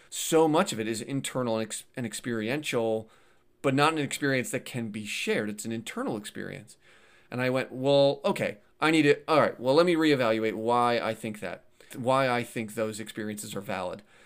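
In a plain, everyday voice, a man talks at a fairly quick pace and a medium pitch with ordinary pitch variation, on a very clean recording with a silent background. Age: 30s. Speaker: YouTuber discussing atheism. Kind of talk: casual interview.

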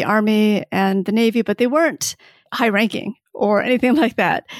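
In a normal speaking voice, a woman with an American accent speaks at a fairly high pitch and with fairly even intonation, the recording very clean and dry, close with no echo, over a silent background. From Michigan, US Midwest. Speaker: writer and professor. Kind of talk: interview.

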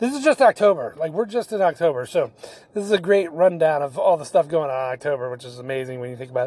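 A man's fairly high voice at a very fast pace, animated in tone with very wide pitch swings, over noticeable background noise. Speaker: podcast host. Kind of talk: casual monologue.

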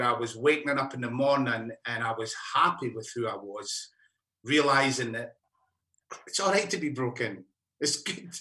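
Here a man speaks with a Scottish accent and a bright, sharp tone. His pitch is fairly high with ordinary pitch variation. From Scotland, mining area. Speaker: musician. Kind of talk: casual chat.

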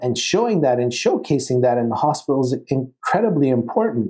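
The man's voice has a dark, mellow tone at a medium pitch. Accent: western Canadian. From Calgary, Alberta, Canada. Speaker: oral surgeon and professor. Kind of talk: interview.

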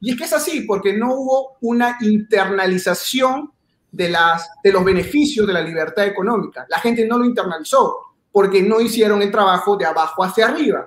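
A man speaks at a moderate pace with hardly any pauses. His voice is high-pitched, with ordinary pitch variation. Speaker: YouTuber. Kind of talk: debate. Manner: halting.

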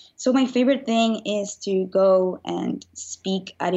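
In a Spanish accent, a woman talks with fairly even intonation. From Venezuela. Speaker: motivational speaker and author. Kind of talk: casual interview.

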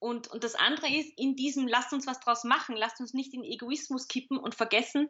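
Her voice sits at a high pitch. The woman speaks with an Austrian accent. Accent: Austrian German dialect, audible. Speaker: communication expert and author. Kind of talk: interview.

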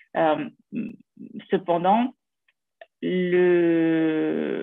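This woman's voice is pitched at a medium level. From Ukraine. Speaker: politician. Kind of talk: interview.

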